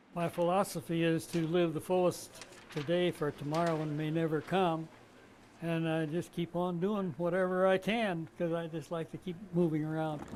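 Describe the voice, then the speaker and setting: Speaking at a moderate pace, a man with a high pitch keeps a monotone, flat intonation. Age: 90s. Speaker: elderly state capitol worker. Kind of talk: interview.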